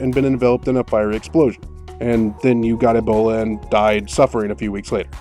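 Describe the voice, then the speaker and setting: A man talks at a very fast pace. Music plays behind him. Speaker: game reviewer. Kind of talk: video game review narration.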